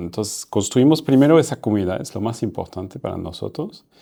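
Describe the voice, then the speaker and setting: Against a very clean recording with a silent background, a man speaks in a dark, mellow tone with lively intonation. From France. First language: French (speaking Spanish). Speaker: startup founder and CEO. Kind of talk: interview conversation. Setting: in person, Paris. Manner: halting.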